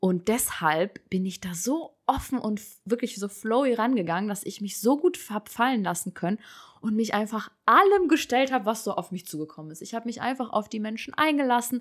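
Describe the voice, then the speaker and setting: On a very clean recording with a silent background, a woman with a plain, everyday voice speaks at a moderate pace, fairly high and with lively intonation, her loudness swinging widely. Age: 30s. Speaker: podcast guest, single mother. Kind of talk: casual chat.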